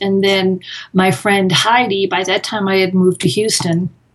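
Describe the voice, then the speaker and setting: A woman with an American accent and medium pitch, at a fairly slow pace over noticeable background noise. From US Northeast (Massachusetts). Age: 60s. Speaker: author and meditator. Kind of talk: interview.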